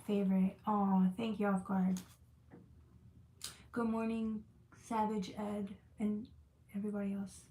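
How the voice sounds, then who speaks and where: A woman's dark, mellow, somewhat breathy tone with long, frequent pauses. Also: medium pitch for a woman. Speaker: tarot reader. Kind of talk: live tarot reading stream. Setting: livestream with chat. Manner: fast; animated.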